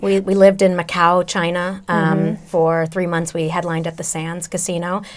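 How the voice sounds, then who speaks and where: Noticeable background noise sits behind a woman with a fairly low voice. She keeps a moderate pace with hardly any pauses. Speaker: vocal coach, singer and voice-over actress. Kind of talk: interview answer. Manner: conversational, enthusiastic.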